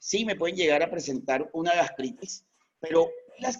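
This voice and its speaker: A man talks at a moderate pace in a high voice. His intonation is lively. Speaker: veterinarian. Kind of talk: lecture.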